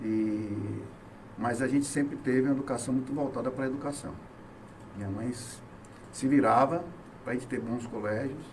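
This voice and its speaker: A man speaks with fairly even intonation and long, frequent pauses. Audible room echo and noticeable background noise fill the recording. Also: medium pitch for a man, fairly quick pace. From Bahia, Brazil (Salvador). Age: 50s. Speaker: businessman and former hospital manager. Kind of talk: interview chat on local politics.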